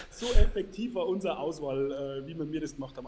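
Noticeable background noise sits under a man speaking at a fairly quick pace with lively intonation. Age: 40s. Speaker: entrepreneur and sales expert. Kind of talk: interview.

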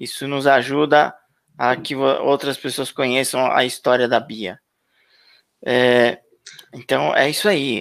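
A man speaks with a fairly high pitch. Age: 50s. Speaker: YouTube channel host. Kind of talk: live stream interview.

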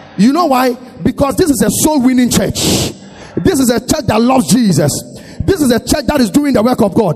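With noticeable background noise, a man speaks at an extremely high pitch and a fairly quick pace, his tone animated and his intonation lively, broken by long, frequent pauses. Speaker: pastor. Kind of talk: sermon. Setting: church.

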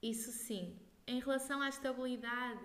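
Heard with audible room echo, a woman with a fairly high pitch speaks in a monotone, flat intonation. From northern Portugal, Braga. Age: young. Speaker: singer. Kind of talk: casual interview. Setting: at home.

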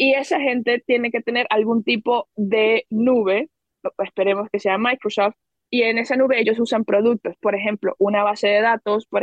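A woman has a plain, everyday voice with a fairly high pitch. She speaks at a moderate pace with fairly even intonation. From Venezuela. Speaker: education entrepreneur. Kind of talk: podcast interview.

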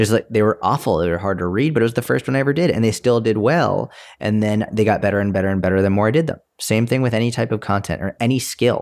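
On a very clean recording with a silent background, a man with a fairly low pitch talks at a very fast pace with ordinary pitch variation. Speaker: fitness coach podcaster. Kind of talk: casual chat. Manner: casual, filler-heavy.

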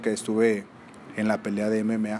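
A man speaks at a fairly slow pace. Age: 30s. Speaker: mixed martial arts fighter and coach. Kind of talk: casual interview.

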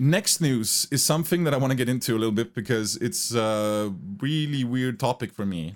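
A man's medium-pitched voice moves fairly quickly, with lively intonation. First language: German. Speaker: gaming YouTuber and podcast host. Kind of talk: casual chat. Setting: video call.

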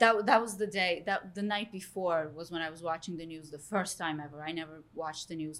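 An ordinary speaking voice, its pitch moving in an ordinary way, at a fairly quick pace. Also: woman. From Istanbul, Turkey; moved to US at eleven. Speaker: real estate agent, charity organizer. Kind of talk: casual chat.

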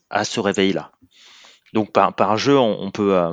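A man speaks against a quiet background. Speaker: agile coach, game movement founder. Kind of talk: interview. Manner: halting, many repetitions.

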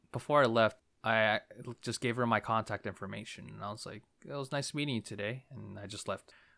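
Very fast, bright, sharp delivery with vocal fry and big swings in loudness, in a very clean recording with a silent background. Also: man, dry, close sound with no echo. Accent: American. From New Jersey. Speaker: podcast host. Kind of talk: casual chat.

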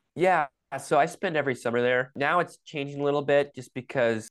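A man with an American accent talks at a fairly quick pace with ordinary pitch variation. It is a normal speaking voice over a quiet background. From Michigan. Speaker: pro-life activist and climber. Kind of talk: casual interview.

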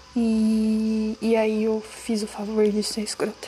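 Noticeable background noise sits behind speech delivered in a monotone, flat intonation. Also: woman. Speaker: podcaster. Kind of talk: personal monologue.

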